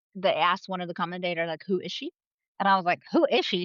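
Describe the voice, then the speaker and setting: Here a woman talks with a Dutch accent. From Netherlands. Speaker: podcast co-host, cycling editor. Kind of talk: casual chat.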